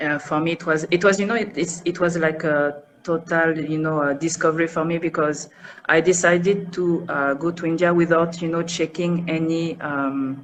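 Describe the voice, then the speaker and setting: A woman with a French accent speaks at a moderate pace in a fairly low pitch, her intonation monotone and flat. Noticeable background noise runs underneath. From France, north of Paris. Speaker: interview guest, expat. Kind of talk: interview. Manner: soft pronunciation; hesitant, many fillers.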